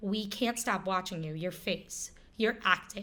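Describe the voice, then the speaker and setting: A woman with an American accent speaks at a fairly slow pace. The recording is very clean, with a silent background. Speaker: actress and singer, pageant titleholder. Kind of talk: interview. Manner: animated.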